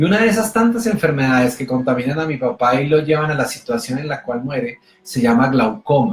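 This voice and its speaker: A man speaks fairly quickly, with hardly any pauses, in a fairly high, animated voice. His pitch swings very widely. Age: 40s. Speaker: motivational speaker. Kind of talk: motivational talk.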